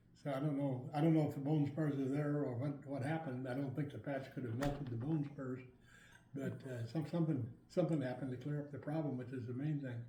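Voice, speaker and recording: Audible room echo surrounds a man speaking very fast in a fairly high pitch. His voice is somewhat breathy and his intonation monotone and flat. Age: 80s+. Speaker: product user giving testimonial. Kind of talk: testimony. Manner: halting.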